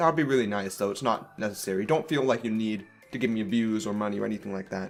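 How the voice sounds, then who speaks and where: A man's fairly low voice at a very fast pace, with ordinary pitch variation and music in the background. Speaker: gaming YouTuber. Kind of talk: casual vlog update.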